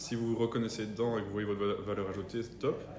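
A man talks at a fairly quick pace. The room echo is audible. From Belgium, rural area near the three-border point (German-speaking community). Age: 20s. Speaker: entrepreneur.

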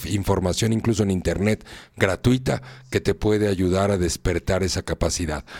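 A man speaks with a Mexican accent. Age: 50s. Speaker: radio host, personal growth speaker. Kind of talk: live radio talk on personal growth. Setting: live internet radio studio.

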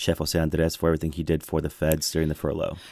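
The recording is very clean, with a silent background and a dry, close sound with no echo. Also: man. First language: Spanish. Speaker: government official. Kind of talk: radio interview.

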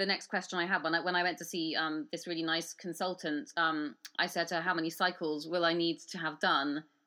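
Against a quiet background, a woman with a British accent speaks at a moderate pace. Her voice is fairly low with a bright, sharp tone. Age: 30s. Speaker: podcast host. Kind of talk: interview.

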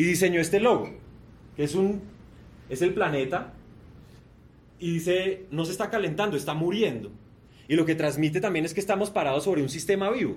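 A man with a high pitch and an animated tone talks at a fairly quick pace, with ordinary pitch variation and long, frequent pauses. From Colombia, Bogotá. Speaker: sustainability entrepreneur. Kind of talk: keynote presentation.

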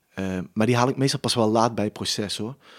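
Over a very clean recording with a silent background, the sound is dry and close with no echo. A man speaks in a normal speaking voice, fairly low in pitch, with fairly even intonation. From Limburg, Netherlands (village near Maastricht). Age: 30s. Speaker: comedian. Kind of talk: casual interview.

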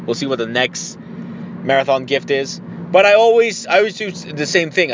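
With noticeable background noise behind him, this man keeps to a moderate pace. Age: 30s. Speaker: podcast host. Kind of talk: casual solo monologue.

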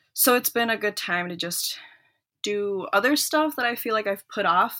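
A woman talks with an Upper Midwest accent. Her tone is bright and sharp. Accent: Upper Midwest American English. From US Midwest, Minnesota (born in El Salvador). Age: 20s. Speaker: law student. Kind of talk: interview. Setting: remote call.

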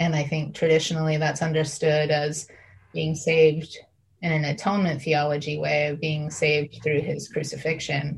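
Speaking at a moderate pace with an American accent, a woman uses a very deep, low pitch, vocal fry and monotone, flat intonation. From US Midwest, Northeast Ohio. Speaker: faith contributor. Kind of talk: casual faith conversation.

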